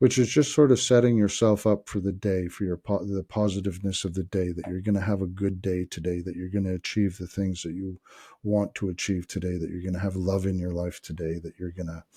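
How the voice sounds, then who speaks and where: A man with a very deep, low pitch and a dark, mellow, somewhat breathy tone talks at a fairly quick pace with hardly any pauses and fairly even intonation, the sound dry and close with no echo. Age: 60s. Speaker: wellness vlogger. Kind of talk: casual monologue vlog. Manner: halting, many filler words.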